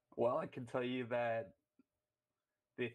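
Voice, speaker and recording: A man's medium-pitched voice in a strong Canadian accent, monotone and flat, at a moderate pace. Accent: thick Canadian. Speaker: caller. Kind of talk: call-in talk show. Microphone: worried mic is bad.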